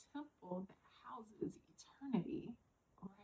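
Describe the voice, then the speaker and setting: At a fairly slow pace, a woman speaks with lively intonation in a somewhat breathy voice. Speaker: self-care vlogger. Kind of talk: casual talk to camera.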